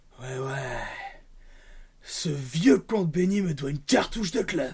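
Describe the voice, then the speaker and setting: A man puts on a raspy character voice at a fairly high pitch. He speaks at a fairly slow pace with lively intonation. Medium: read story.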